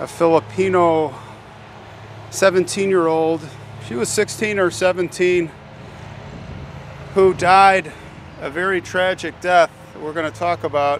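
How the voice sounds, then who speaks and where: Speaking at a very slow pace with long, frequent pauses, a man with a high pitch is heard in a dry sound with no echo over light background noise. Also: ordinary pitch variation. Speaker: cemetery vlogger. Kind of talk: casual vlog chat. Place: open country. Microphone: phone near.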